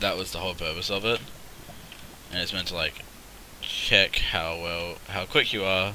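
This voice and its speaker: There is noticeable background noise behind a man with a very deep, low pitch and fairly even intonation. He keeps a moderate pace with long, frequent pauses. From Australia. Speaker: gaming streamer. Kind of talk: live gameplay commentary. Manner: casual, rambling.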